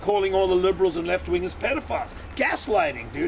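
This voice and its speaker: A man's very fast, lively-toned speech over noticeable background noise. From South Africa (Cape Town). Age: 70s. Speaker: film director. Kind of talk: casual chat. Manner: animated.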